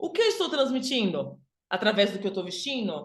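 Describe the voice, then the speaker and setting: Her pitch swings very widely. She keeps a moderate pace. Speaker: image and style consultant. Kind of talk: online workshop lecture. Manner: animated.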